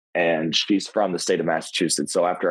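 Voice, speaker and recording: Talking at a fairly quick pace, a man uses a very deep, low pitch. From Kentucky, rural. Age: 20s. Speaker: professional wrestler. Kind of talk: podcast interview. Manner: halting, many fillers and restarts.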